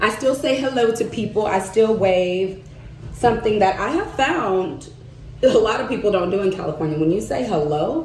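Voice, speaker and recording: A woman with a slight Southern US accent speaks in an animated tone with lively intonation. Audible room echo and noticeable background noise surround her. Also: medium pitch for a woman, moderate pace. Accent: slight Southern twang. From US South, Arkansas. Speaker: vlogger and market vendor. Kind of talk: casual vlog chat while doing makeup.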